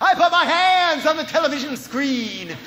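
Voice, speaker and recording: Noticeable background noise sits behind a man's raised, projected voice. His pitch is extremely high. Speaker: spoken word performer. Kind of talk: live spoken word performance. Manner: sarcastic, impassioned.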